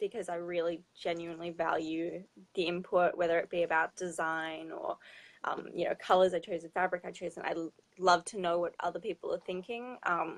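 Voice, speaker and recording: With an Australian accent, a woman talks at a fairly quick pace in a fairly low voice with monotone, flat intonation. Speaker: fashion designer. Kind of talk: interview.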